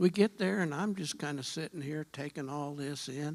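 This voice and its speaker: On a very clean recording with a silent background, the speech moves at a moderate pace. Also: man. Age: 70s. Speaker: church lay member. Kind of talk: testimony.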